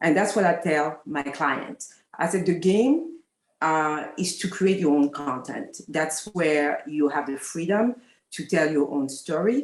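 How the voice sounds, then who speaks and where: A woman with a French accent, fairly low in pitch, at a fairly slow pace with lively intonation. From France. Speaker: talent manager. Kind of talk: panel discussion. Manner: halting, many fillers.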